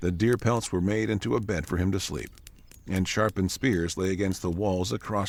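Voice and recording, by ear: Someone is reading aloud in a natural voice. Intonation holds fairly even.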